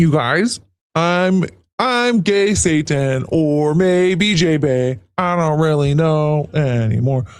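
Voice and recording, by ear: Speaking at a very slow pace, a man uses a put-on character voice pitched fairly high.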